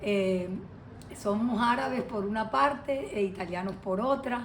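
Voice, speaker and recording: With audible room echo, a woman speaks at a fairly slow pace and a medium pitch, her voice somewhat breathy, with ordinary pitch variation. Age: 60s. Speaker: lawyer, interviewee. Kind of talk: interview testimony. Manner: hesitant, many fillers.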